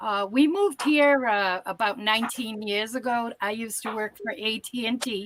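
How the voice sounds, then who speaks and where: A Massachusetts accent with ordinary pitch variation. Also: woman. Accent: Northeastern US (Massachusetts) accent, kept. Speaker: caller. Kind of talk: casual chat.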